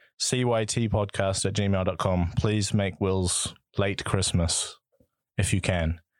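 In a very clean recording with a silent background, a man speaks with a New Zealand accent at a fairly low pitch. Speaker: podcast co-host. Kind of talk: casual chat.

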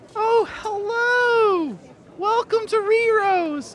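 A put-on character voice, squeaky and extremely high in pitch, at a very slow pace. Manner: cheery.

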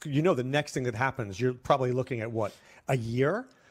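A man's somewhat breathy voice comes through a very clean recording with a silent background. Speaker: fantasy football analyst, co-host. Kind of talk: casual sports talk.

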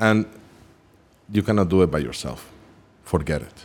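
With a non-native accent, someone talks fairly slowly. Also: man. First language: not English. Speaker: musician and artist. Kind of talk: casual chat. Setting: studio.

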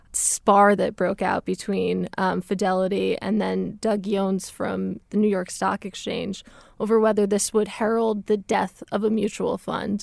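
Here is a plain, everyday voice at a fairly slow pace. The recording is very clean, with a silent background. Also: woman. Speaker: financial news reporter. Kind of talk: casual conversation.

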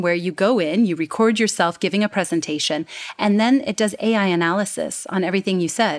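On a very clean recording with a silent background, a woman with an American accent has an ordinary speaking voice. Her pitch is medium and her intonation lively. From United States. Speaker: communication coach. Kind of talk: interview conversation.

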